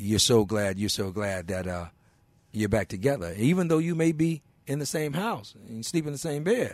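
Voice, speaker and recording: With a Mississippi accent, a man speaks with very wide swings in pitch. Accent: Southern US (Mississippi). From Mississippi (McComb). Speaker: blues musician. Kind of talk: casual chat. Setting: radio studio. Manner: animated.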